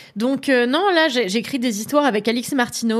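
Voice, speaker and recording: Pitched high, a woman speaks with ordinary pitch variation. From France, Paris area (Levallois). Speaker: author and screenwriter. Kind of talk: casual chat. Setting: live stream.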